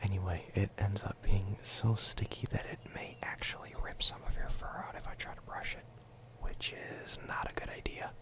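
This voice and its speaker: Someone whispers at a moderate pace in a calm, gentle tone, with noticeable background noise. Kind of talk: ASMR roleplay, soft spoken, speaking directly to the listener. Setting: studio microphone, binaural recording. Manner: soft-spoken, calm, gentle.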